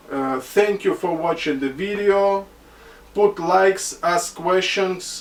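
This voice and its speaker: A man speaks at a fairly slow pace with a Russian accent. Noticeable background noise runs under his voice. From Caucasus. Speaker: online hat seller. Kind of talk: product tutorial. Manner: halting, many fillers.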